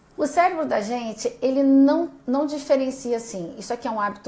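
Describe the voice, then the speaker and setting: A high-pitched woman's voice at a moderate pace, with ordinary pitch variation, audible room echo and noticeable background noise. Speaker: doctor giving a live class. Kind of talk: live-stream lecture. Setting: live video stream.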